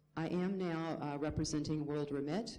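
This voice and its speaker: Over noticeable background noise and audible room echo, a woman with an American accent speaks at a moderate pace in a very deep, low voice with fairly even intonation. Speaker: remittance industry consultant. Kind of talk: conference panel introduction. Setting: conference panel with audience.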